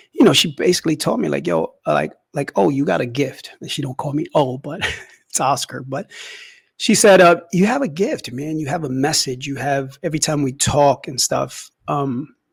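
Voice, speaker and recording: Vocal fry runs through a man's fairly high voice, and his intonation is lively. He keeps a moderate pace. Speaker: podcast host. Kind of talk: casual monologue. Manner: halting, many fillers.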